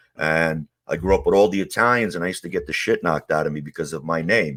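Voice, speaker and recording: With a New York accent, a man speaks at a very deep, low pitch in a bright, sharp tone with ordinary pitch variation, and the recording is very clean with a silent background. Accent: New York (Queens). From US Northeast, Ridgewood, Queens, New York. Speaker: former mob associate. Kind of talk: interview testimony. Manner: casual, many fillers.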